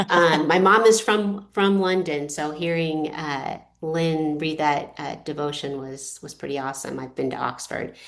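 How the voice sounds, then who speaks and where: Over noticeable background noise, the speech runs at a fairly slow pace with hardly any pauses and big swings in loudness. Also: woman, very deep, low pitch for a woman, ordinary pitch variation. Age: 60s. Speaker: author. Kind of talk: presentation. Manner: halting.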